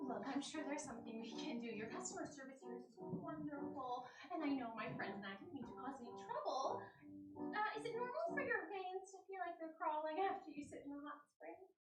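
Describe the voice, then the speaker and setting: A high-pitched, bubbly put-on character voice moves at a fairly quick pace with slight echo and clear music in the background. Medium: stage play. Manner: bubbly, rambling.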